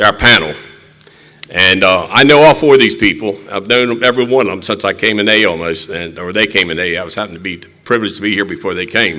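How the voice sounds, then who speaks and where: A man's lively, very fast speech over noticeable background noise. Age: 80s+. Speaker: recovery meeting chair. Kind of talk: recovery meeting talk.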